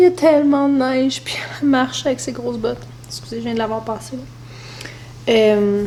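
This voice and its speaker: Noticeable background noise sits behind a woman who talks at a fairly quick pace with long, frequent pauses. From Quebec. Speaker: mother vlogger. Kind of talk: casual talk to camera.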